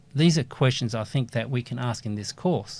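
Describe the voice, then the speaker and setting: On a very clean recording with a silent background, a man speaks in a somewhat breathy voice with ordinary pitch variation. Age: 60s. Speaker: university lecturer. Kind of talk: lecture.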